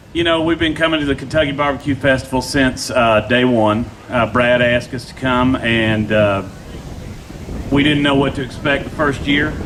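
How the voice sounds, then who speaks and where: Man at a moderate pace with ordinary pitch variation, over noticeable background noise. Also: medium pitch for a man. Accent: Tennessee. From Nashville, Tennessee. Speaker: pitmaster, restaurant owner. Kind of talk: interview. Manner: loud.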